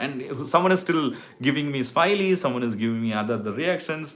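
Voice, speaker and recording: A man with a Tamil Indian accent at a fairly quick pace. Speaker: YouTuber giving hair transplant advice. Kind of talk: live stream chat with viewers. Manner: casual, halting with fillers.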